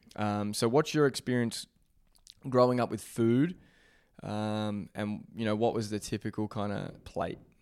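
Over a very clean recording with a silent background, a man with an Australian accent talks at a fairly low pitch and a fairly slow pace with ordinary pitch variation. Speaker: podcast host. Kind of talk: casual interview.

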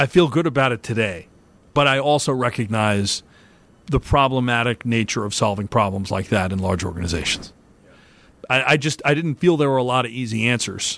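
An ordinary speaking voice with lively intonation comes at a fairly quick pace. The recording is very clean, with a silent background. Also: man, medium pitch for a man. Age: 50s. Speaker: investment strategist at a private bank. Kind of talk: interview.

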